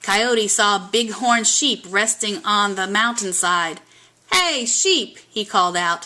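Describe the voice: The recording is plain reading aloud. Its pitch moves up and down in an ordinary way.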